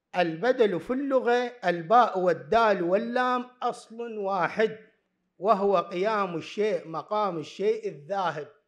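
With a high pitch and ordinary pitch variation, a man talks at a very slow pace against a quiet background. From Iraq. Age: 40s. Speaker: university lecturer. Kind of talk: conference talk. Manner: formal. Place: hall. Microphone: podium.

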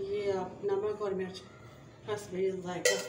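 In a room with audible echo, a woman speaks at a medium pitch and a fairly slow pace, her tone slightly mellow and her pitch moving little.

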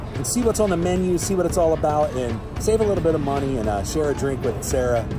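A man's very fast speech over clear background music. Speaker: travel vlogger. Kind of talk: casual vlog chat. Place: street. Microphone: phone near.

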